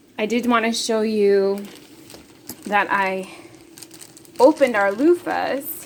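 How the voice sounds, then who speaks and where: Lively intonation from a woman, with noticeable background noise underneath. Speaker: herbalist. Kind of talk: casual talk to camera.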